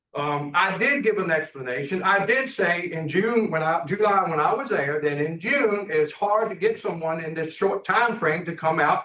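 A man speaks in a raised, projected voice, pitched high for a man. His intonation is lively and his pace moderate. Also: hardly any pauses. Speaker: property owner addressing council. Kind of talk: public comment at council meeting. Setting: town council meeting room. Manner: loud.

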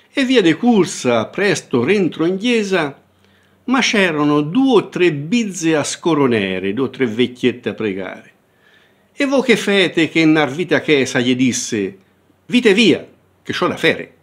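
A man's fairly high voice at a fairly slow pace, with very wide pitch swings and long, frequent pauses. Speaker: professor. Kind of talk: dialect poetry reading.

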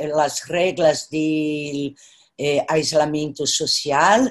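A woman talks at a very slow pace with a Brazilian accent. The background is quiet. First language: Portuguese (speaking Spanish). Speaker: artist and professor; professor. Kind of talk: virtual panel conversation. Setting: video call. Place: home room. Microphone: video call.

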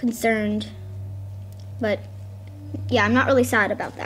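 A woman speaks at a fairly slow pace, her pitch fairly high. Her tone is fairly bright, with fairly even intonation.

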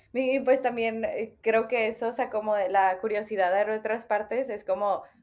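In an ordinary speaking voice, a woman talks at a moderate pace with fairly high pitch and fairly even intonation. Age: 20s. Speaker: podcast host. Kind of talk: interview conversation.

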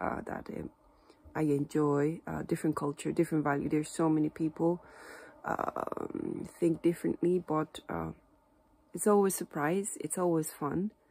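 A woman's very deep, low voice, with fairly even intonation at a moderate pace. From Japan. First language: Japanese. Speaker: Japanese teacher. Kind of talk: casual talk to camera. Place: home room. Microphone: phone near.

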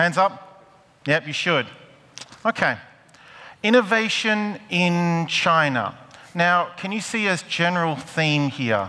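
This voice moves at a very slow pace, with long, frequent pauses and lively intonation. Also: man. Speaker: panel moderator. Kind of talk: moderating a panel. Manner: humorous, jokey. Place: hall. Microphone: headset.

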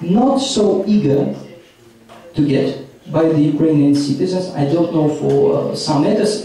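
With light background noise and strong room echo, a man speaks at a fairly slow pace in a fairly high pitch. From Ukraine. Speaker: policy analyst. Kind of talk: panel discussion. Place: hall.

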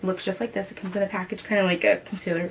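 Delivered at a very fast pace, the speech has a monotone, flat intonation over light background noise. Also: woman. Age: 20s. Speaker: makeup artist. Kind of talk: tutorial. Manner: casual, chatty. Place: home room.

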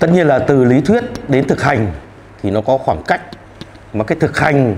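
The man's pitch swings very widely as he speaks. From Vietnam. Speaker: traditional medicine doctor; panelist. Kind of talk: panel discussion. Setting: studio. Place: hall. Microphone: handheld.

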